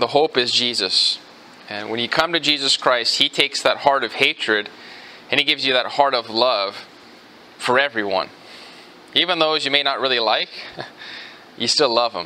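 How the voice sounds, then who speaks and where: Long, frequent pauses break up this man's speech, which has ordinary pitch variation. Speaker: pastor. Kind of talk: sermon. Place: church.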